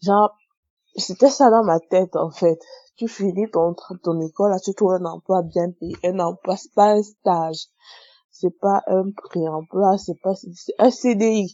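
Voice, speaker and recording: Ordinary pitch variation at a very slow pace. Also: woman, medium pitch for a woman. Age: 20s. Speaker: testimony contributor. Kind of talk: recorded testimony.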